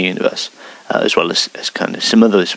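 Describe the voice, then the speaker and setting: A man with an English Midlands accent at a fairly quick pace, over noticeable background noise. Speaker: wargaming hobby video host. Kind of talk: news roundup monologue. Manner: hesitant, many fillers.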